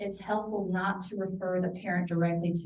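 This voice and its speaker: A woman speaks at a fairly quick pace in a fairly low, somewhat breathy voice with monotone, flat intonation. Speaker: parenting program coordinator. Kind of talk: presentation to professionals. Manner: quiet-spoken.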